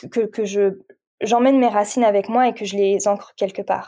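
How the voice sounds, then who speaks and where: Medium-pitched woman with a dark, mellow tone, fairly even intonation, and a moderate pace, on a very clean recording with a silent background. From France. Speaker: meditation coach and Reiki practitioner. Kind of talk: casual chat. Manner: halting.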